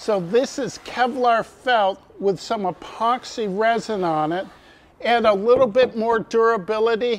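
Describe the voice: A man's high-pitched voice with lively intonation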